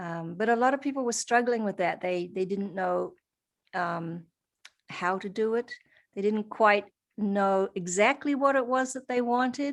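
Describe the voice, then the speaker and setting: A woman's fairly high voice with a New Zealand accent, fairly slow pace and ordinary pitch variation, on a very clean recording with a silent background. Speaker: holistic practitioner and coach. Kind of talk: interview. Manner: hesitant, many fillers.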